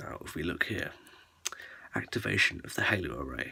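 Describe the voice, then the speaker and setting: The speaker whispers at a moderate speed. It is a man. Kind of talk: ASMR lore explainer, casual talk to camera. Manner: soft-spoken.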